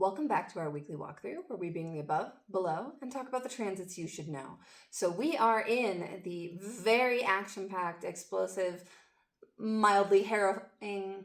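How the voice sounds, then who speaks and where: Speaking at a fairly slow pace, a woman with an unremarkable speaking voice keeps a medium pitch and lively intonation. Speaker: astrology and tarot forecaster. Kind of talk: weekly astrology forecast monologue.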